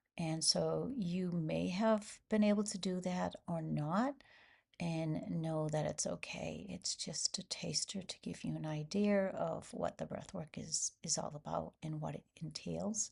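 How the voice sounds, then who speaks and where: A soft-spoken woman at a fairly slow pace. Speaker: breathwork facilitator. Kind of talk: webinar workshop. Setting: video webinar. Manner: quiet and soft.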